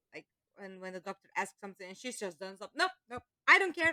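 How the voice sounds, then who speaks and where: A woman's bright, sharp voice with a non-native accent and very wide pitch swings, dry and close with no echo. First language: Dutch. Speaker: voice actor. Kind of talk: casual chat.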